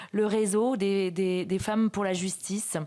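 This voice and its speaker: A woman with a dark, mellow tone speaks in a very clean recording over a silent background. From France. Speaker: magistrate, event moderator. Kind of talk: conference speech. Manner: halting, many hesitations.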